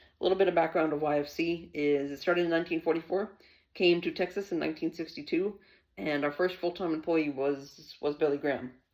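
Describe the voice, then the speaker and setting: A man with an American accent speaks very fast in a high voice. His intonation stays fairly even. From Pennsylvania, US. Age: 20s. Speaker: youth ministry worker. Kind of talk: testimony.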